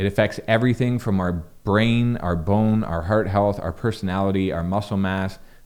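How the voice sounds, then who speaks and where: A man's fairly low, nasal voice with fairly even intonation at a moderate pace, in a very clean recording with a silent background. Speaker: health content creator. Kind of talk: educational talk to camera. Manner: casual with fillers.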